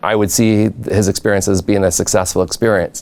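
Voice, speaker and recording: With a Canadian accent, a man talks at a moderate pace with flat, monotone intonation over noticeable background noise. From Southern Ontario, Canada. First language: not English. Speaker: education professor. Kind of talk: lecture.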